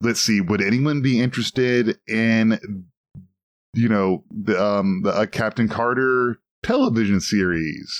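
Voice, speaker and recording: An unremarkable speaking voice at a fairly slow pace, dry and close with no echo, over a quiet background. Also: man. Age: 40s. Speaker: podcast co-host. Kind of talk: casual chat.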